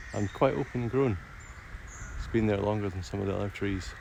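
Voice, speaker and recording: With vocal fry, a man talks at a fairly low pitch and a fairly quick pace, his pitch varying in an ordinary way. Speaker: nature streamer and guide. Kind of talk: casual nature walk commentary to camera. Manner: soothing, calm.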